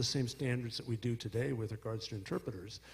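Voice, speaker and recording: Somewhat breathy and medium in pitch, a man talks at a very fast pace. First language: Spanish. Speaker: prosecutor. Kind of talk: panel discussion. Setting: stage with audience.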